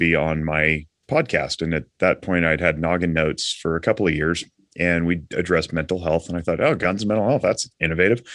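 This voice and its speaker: With an American accent, a man speaks at a very deep, low pitch in a bright, sharp tone with fairly even intonation over a quiet background. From Nevada. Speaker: marriage and family counselor. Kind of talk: casual interview.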